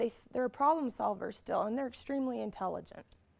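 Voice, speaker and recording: A loud woman's voice at a fairly quick pace. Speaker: conference presenter. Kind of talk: workshop lecture. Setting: conference classroom.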